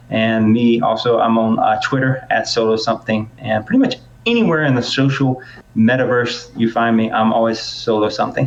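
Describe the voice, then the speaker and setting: Noticeable background noise sits behind a man with an American accent. His loudness stays very even. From US South. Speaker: podcast host. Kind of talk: casual chat. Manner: fast.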